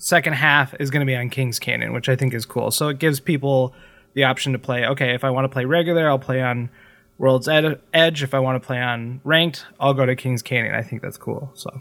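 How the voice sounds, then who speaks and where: A man's unremarkable speaking voice at a medium pitch, with fairly even intonation and a fairly quick pace. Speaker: gaming podcast co-host. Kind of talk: casual chat.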